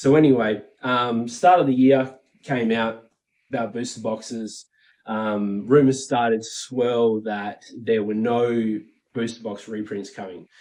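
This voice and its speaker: A man with an Australian accent speaks at a fairly slow pace and a medium pitch, his intonation fairly even but his loudness swinging widely. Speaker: Pokemon card collector and YouTuber. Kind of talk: casual commentary monologue. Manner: casual, many filler words.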